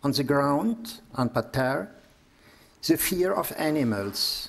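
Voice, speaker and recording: A man with a German accent, fairly high pitch and lively intonation, at a very slow pace. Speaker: priest and psychotherapist giving a lecture. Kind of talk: lecture.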